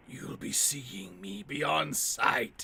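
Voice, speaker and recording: A put-on character voice comes out in a whisper. It sounds raspy. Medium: video game. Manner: cryptic, riddling.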